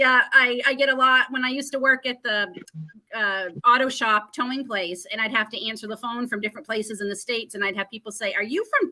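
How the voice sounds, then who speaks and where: A woman talks at a very fast pace. Her tone is bright and sharp. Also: fairly high pitch for a woman, ordinary pitch variation. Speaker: homesteading channel host. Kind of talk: casual chat interview. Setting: live stream broadcast.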